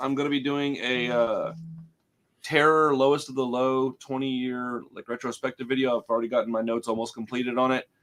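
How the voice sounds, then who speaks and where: A man with a normal speaking voice, at a fairly quick pace. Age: 40s. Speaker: podcast host. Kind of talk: casual chat. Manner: casual, filler-heavy.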